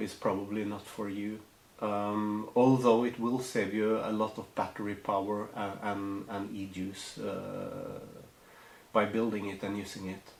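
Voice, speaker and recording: A man with a non-native accent speaks at a fairly slow pace and fairly low pitch, in monotone, flat intonation. Light background noise and audible room echo are present. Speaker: hobbyist tutorial maker. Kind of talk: tutorial. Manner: halting, many fillers. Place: home room.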